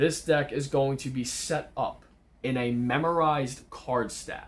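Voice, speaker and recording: Talking at a fairly slow pace, the man has an unremarkable speaking voice. His pitch is medium, with ordinary variation. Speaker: magician teaching card tricks. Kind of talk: tutorial. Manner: casual.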